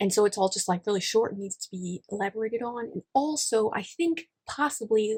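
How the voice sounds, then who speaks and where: A woman's fairly high, somewhat breathy voice at a fairly quick pace with hardly any pauses, ordinary pitch variation and big swings in loudness, dry and close with no echo. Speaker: writing YouTuber. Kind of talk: casual vlog. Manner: fast.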